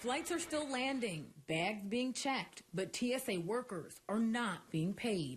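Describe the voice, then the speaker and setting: Speaking at a fairly slow pace with an American accent, a woman uses a fairly high, somewhat breathy voice. Her pitch swings very widely while her loudness stays very even. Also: hardly any pauses. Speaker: TV news reporter and anchor. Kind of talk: field report voiceover.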